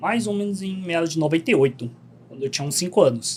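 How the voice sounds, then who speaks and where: Intonation lively, the man keeps talking. His voice comes out somewhat breathy. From Korean community in Bom Retiro, São Paulo, Brazil. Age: 30s. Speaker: podcast guest, travel content creator. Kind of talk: casual interview chat.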